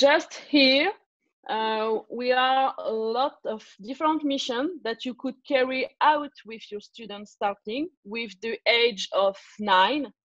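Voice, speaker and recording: Speaking at a very slow pace, a woman has a non-native accent. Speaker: learning consultant, former teacher. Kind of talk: online tutorial presentation. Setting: video call webinar. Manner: hesitant, many fillers.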